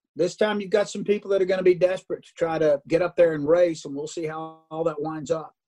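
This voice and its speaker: Racing at a very fast pace, a man with a high pitch and a dark, mellow tone keeps a fairly even intonation while his loudness swings widely. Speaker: racing broadcaster. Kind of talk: radio interview. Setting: office phone or video call.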